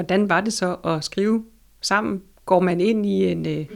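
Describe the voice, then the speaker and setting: A woman speaks very slowly at a medium pitch, with vocal fry and ordinary pitch variation. The recording is very clean, with a silent background. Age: 40s. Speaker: library consultant and interviewer. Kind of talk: interview. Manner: hesitant, many fillers.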